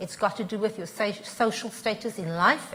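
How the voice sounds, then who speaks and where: A woman at a moderate pace with ordinary pitch variation, against noticeable background noise. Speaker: transport consultant. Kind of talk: panel discussion.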